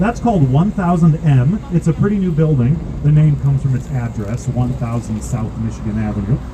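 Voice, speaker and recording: Talking at a fairly quick pace, a man comes through over noticeable background noise. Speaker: architecture boat tour guide. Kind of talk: guided tour commentary. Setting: outdoors on a boat. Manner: fast.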